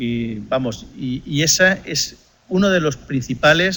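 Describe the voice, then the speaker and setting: A man's bright, sharp voice with lively intonation and a Spanish accent. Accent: Spanish (Spain). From Spain. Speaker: economics lecturer. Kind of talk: lecture.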